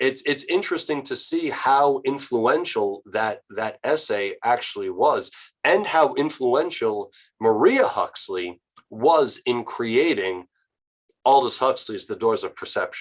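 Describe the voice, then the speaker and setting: At a fairly slow pace, a man speaks with an American accent. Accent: New York accent, slight, comes out at times. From New York. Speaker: author and historian. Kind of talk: interview discussion. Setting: online video call.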